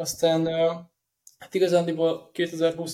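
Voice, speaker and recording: This is a man's voice. It is pitched fairly high. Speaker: football news page editor and owner. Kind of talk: casual chat. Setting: studio.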